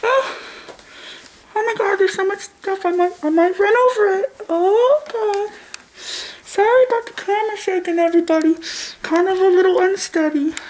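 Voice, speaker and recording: Using a put-on character voice at an extremely high pitch, a woman leaves long, frequent pauses. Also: moderate pace, ordinary pitch variation. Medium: comedy sketch. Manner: stammering, forgetful.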